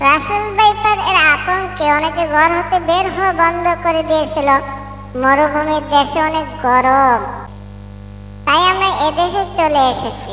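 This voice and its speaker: A cartoonish character voice moves at a fairly slow pace with clear background noise behind it. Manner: long-winded, dramatic.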